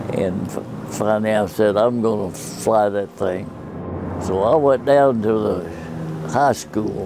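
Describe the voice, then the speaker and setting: Against noticeable background noise and audible room echo, a man with an American accent speaks at a very slow pace in a fairly low voice with ordinary pitch variation. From Oklahoma, US. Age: 90s. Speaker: war veteran. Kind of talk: personal storytelling interview. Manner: halting, with self-corrections.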